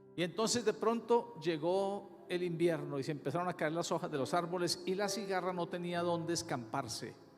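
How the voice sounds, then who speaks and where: A man with a high pitch and ordinary pitch variation at a moderate pace, hardly any pauses, audible room echo and music in the background. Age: 60s. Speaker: pastor. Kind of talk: sermon.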